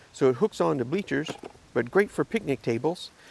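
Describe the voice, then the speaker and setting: Over noticeable background noise, a man with a fairly high pitch talks at a fairly quick pace, his pitch swinging very widely in a dry, close sound with no echo. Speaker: ham radio YouTuber. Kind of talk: casual gear show-and-tell. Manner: fast; hesitant, many fillers.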